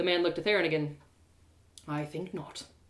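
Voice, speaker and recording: A woman puts on a gruff character voice at a fairly low pitch. She talks at a very fast pace with fairly even intonation. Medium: read story. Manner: gruff, curt.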